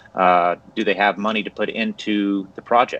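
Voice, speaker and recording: A man has an ordinary speaking voice with a fairly low pitch and fairly even intonation, recorded with a dry sound and no echo. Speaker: business loan broker trainer. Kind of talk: tutorial. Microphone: video call.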